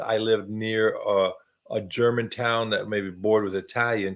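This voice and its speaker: At a moderate pace and medium pitch, a man talks with an American accent. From US, West Texas. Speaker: video host, military veteran. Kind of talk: casual chat.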